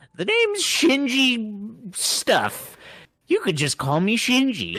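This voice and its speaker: This put-on character voice has a fairly high pitch and a fairly slow pace. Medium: game stream. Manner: casual, teasing, smug.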